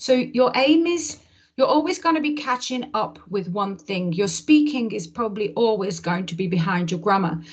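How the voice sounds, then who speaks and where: A woman with a fairly high, somewhat breathy voice speaks at a moderate pace. Her pitch swings very widely. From English Midlands. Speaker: English teacher. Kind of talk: casual interview conversation.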